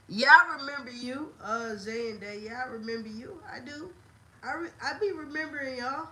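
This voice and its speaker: A woman with an American accent speaks at a high pitch in a raised, projected voice, animated in tone, with ordinary pitch variation, a moderate pace and big swings in loudness. Noticeable background noise and audible room echo are present. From US South, Montgomery, Alabama. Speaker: wrestling livestreamer. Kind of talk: casual livestream chat.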